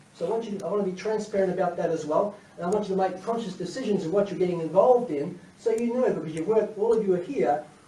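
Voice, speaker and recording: Very fast speech with ordinary pitch variation, amid noticeable background noise and audible room echo. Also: man. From Australia. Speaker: company CEO. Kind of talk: conference presentation.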